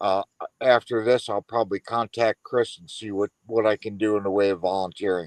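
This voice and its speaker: A man's plain, everyday voice, fairly low-pitched, at a moderate pace with fairly even intonation, in a dry, close sound with no echo. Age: 60s. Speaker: military veteran. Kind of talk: casual chat.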